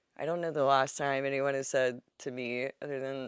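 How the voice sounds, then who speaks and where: The voice is loud. It moves at a moderate pace. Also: woman. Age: 30s. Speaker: podcast host. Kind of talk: casual chat; scripted tip and mantra. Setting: home bedroom.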